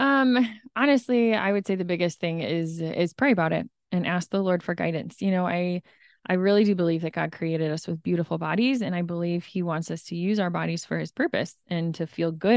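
This woman has a fairly low pitch and a calm tone. She talks at a fairly quick pace with ordinary pitch variation. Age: 30s. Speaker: stay-at-home mom and running coach. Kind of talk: interview testimony.

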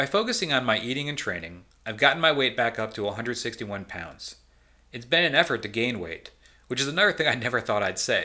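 On a very clean recording with a silent background, a man speaks at a very fast pace in a bright, sharp tone with ordinary pitch variation. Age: 40s. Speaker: podcast host, weight loss surgery patient.

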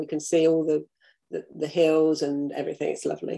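In a very clean recording with a silent background, a woman with an English accent speaks in a dark, mellow tone. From UK. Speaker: crime fiction author. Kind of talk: interview.

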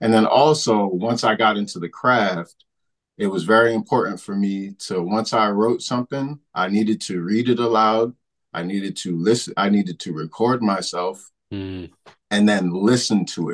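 At a moderate pace, a man with an American accent talks in a fairly low pitch with ordinary pitch variation. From Hartford, Connecticut. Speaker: debut novelist and teacher. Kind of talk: interview.

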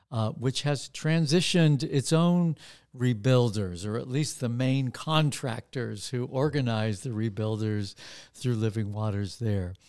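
Very clean, with a silent background, the recording holds a man's ordinary speaking voice at a medium pitch. He talks at a fairly slow pace with ordinary pitch variation. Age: 60s. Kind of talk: spoken devotional reflection.

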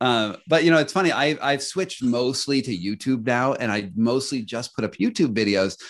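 A man's unremarkable speaking voice at medium pitch, with lively intonation, a moderate pace and a quiet background. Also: hardly any pauses. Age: 40s. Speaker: author and investigative journalist. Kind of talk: casual interview.

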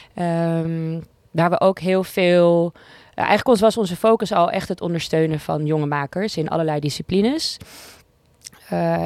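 Heard in a dry, close sound with no echo, a woman uses an ordinary speaking voice, fairly low in pitch, with ordinary pitch variation at a moderate pace. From Amsterdam, Netherlands. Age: 30s. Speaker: music supervisor for television. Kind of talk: casual interview. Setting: podcast studio.

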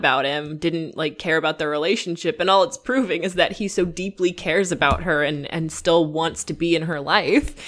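A woman speaks at a moderate pace and a fairly low pitch, with fairly even intonation. It is a normal speaking voice. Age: 20s. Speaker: podcast co-host. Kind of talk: casual chat. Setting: Skype call.

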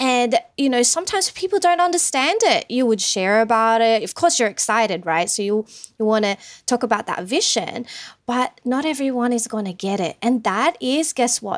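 In a very clean recording with a silent background, a woman speaks at a high pitch with lively intonation. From Sydney, Australia (moved from the Philippines at ten). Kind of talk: interview. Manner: animated.

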